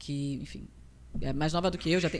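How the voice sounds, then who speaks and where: A woman is speaking. Her pace is fairly quick. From Rio de Janeiro state interior and Espírito Santo, Brazil. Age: 30s. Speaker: nutritionist. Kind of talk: casual interview.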